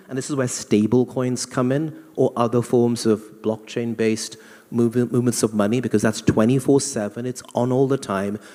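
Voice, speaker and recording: With a London accent, a man speaks at a medium pitch in a dark, mellow tone. His intonation is monotone and flat, at a moderate pace. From England (London). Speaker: banking executive on a panel. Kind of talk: panel discussion.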